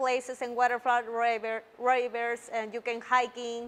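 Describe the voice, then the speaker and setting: A woman speaks with a Mexican accent at a fairly slow pace. Her pitch is high. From Mexico. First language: Spanish. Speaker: Toastmasters club member. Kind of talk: public speech. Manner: halting.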